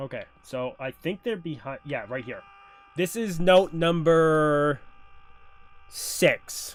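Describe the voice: At a slow pace, a man speaks with ordinary pitch variation. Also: fairly high pitch for a man.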